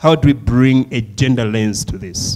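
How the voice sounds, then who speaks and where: A man speaks with a Malawian accent. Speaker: session chair. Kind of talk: panel moderation.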